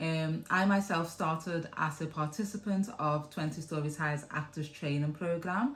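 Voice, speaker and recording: Her very deep, low voice holds a moderate pace as this woman speaks with fairly even intonation. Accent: Liverpool. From Liverpool, England. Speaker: theatre producer. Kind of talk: interview answer.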